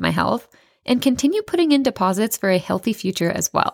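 In a very clean recording with a silent background, a woman with an ordinary speaking voice talks at a fairly quick pace with lively intonation. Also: dry, close sound with no echo. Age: 30s. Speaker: podcast host and clinical nutritionist. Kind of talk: solo motivational podcast monologue.

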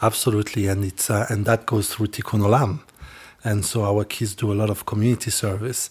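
A man with a Rwandan accent speaks at a fairly quick pace in a fairly low, somewhat breathy voice with monotone, flat intonation. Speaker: youth village leader.

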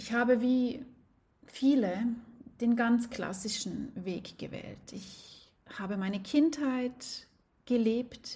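Somewhat breathy speech from a woman, fairly high in pitch, with a dark, mellow tone and ordinary pitch variation. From Switzerland. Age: 40s. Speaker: life coach. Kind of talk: personal storytelling monologue.

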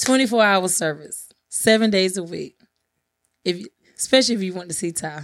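At a medium pitch, a woman speaks at a fairly quick pace broken by long, frequent pauses. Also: ordinary pitch variation, big swings in loudness, very clean recording, silent background. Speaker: podcast host, real estate agent and bondsman. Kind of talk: interview, telling life story. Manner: calm.

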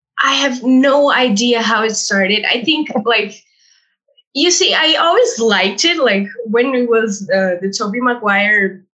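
A woman's fairly high voice has a bright, sharp tone and lively intonation. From Brazil. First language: Portuguese and Spanish. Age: 20s. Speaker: language teacher. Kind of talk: interview.

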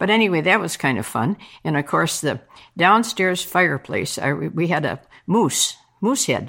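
With an American accent, this speaker has vocal fry and lively intonation at a moderate pace. The recording is very clean, with a silent background. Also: woman, fairly low pitch for a woman. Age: 80s+. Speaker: veteran curler. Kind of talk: interview. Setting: home basement bar.

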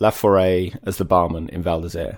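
A man's very deep, low voice in a southern English accent, with fairly even intonation and a very clean recording over a silent background. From Kent, southeast England. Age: 40s. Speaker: author and sports brand marketer. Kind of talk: casual interview chat.

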